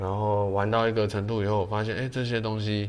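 The speech comes with audible room echo and a monotone, flat intonation. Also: man. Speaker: ceramic artist and pottery teacher. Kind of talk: casual interview.

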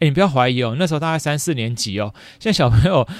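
In a Taiwanese accent, a man talks at a very fast pace with very wide pitch swings, recorded very cleanly over a silent background. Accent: Taiwanese Mandarin. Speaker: podcast host, elementary school teacher. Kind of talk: casual solo chat. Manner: many fillers, chatty.

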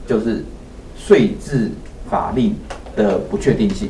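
Through noticeable background noise and audible room echo, a man at a medium pitch swings his voice very widely in pitch. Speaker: host, property developer. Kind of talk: casual chat. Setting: livestream. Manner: halting.

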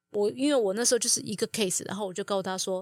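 A woman speaks in a plain, everyday voice at a medium pitch, with ordinary pitch variation. The recording is very clean and dry, close-miked with no echo against a silent background. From Taiwan. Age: 40s. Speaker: mature student, former marketing executive. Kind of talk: casual interview.

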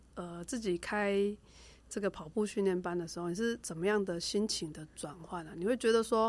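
Recorded very cleanly against a silent background, a woman with a Taiwanese accent speaks with ordinary pitch variation. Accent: Taiwanese Mandarin. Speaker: rehabilitation doctor. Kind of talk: casual chat.

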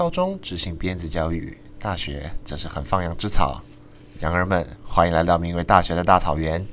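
Heard with audible room echo and noticeable background noise, a man speaks at a moderate pace with a Taiwanese accent. His pitch is very deep and low, with ordinary variation. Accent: Taiwanese Mandarin. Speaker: student podcast host. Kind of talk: casual chat.

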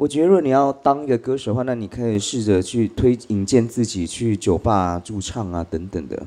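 Barely pausing, a man with a dark, mellow tone and medium pitch talks with lively intonation. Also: fairly quick pace. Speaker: drag queen and singer. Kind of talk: live interview on stage. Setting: live podcast show with audience.

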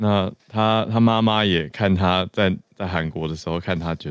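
The speaker has a Taiwanese accent and ordinary pitch variation. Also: man. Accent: Taiwanese Mandarin. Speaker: news podcast co-host. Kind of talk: casual news discussion. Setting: studio, live-streamed.

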